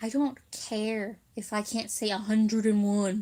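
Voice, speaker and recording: This woman talks at a very slow pace with a fairly high pitch and a dark, mellow tone. Her intonation stays monotone and flat. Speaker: livestreamer. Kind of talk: casual chat. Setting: livestream.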